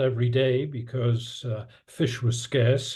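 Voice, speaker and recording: A man with a dark, mellow tone speaks at a very slow pace, sounding somewhat breathy. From northern England, Newcastle upon Tyne. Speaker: economics professor. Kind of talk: interview.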